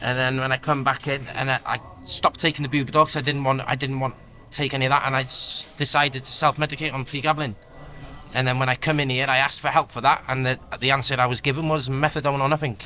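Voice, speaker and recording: A man at a very fast pace with a fairly high pitch and monotone, flat intonation, over noticeable background noise. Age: young. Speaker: prisoner in recovery. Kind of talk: casual chat.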